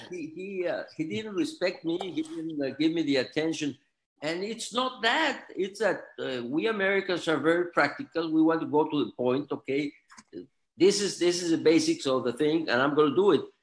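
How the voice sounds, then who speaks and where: Against a quiet background, a man with a Spanish accent speaks at a moderate pace. His voice is high-pitched, with lively intonation. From Mexico City, Mexico; Mexico. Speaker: author and attorney; attorney. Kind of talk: interview. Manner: halting, repeats words. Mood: warm, courteous. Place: office. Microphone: video call.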